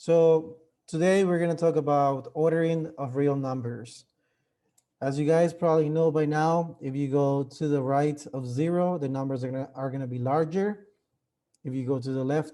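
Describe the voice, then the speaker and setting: A man with a fairly high pitch and a dark, mellow tone speaks at a moderate pace with fairly even intonation. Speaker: math teacher. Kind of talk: lecture. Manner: casual, filler-heavy.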